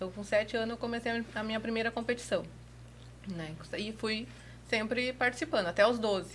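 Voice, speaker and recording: A woman talks at a fairly quick pace in a fairly high pitch. She has a normal speaking voice. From southern Brazil, Rio Grande do Sul (Bagé). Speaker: rodeo lasso competitor. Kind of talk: podcast interview. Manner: casual, conversational.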